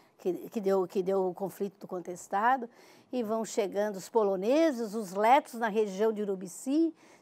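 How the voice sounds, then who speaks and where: A woman's voice carries a dark, mellow tone with ordinary pitch variation. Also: medium pitch for a woman, moderate pace. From southern Brazil, Santa Catarina (Tubarão). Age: 70s. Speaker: writer and cultural researcher. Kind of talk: interview.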